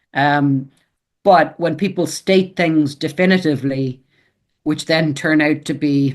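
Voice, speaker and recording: Over a quiet background, someone with an Irish accent speaks in fairly even intonation. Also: man. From Ireland. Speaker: author and editor. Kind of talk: interview. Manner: hesitant, repeats words.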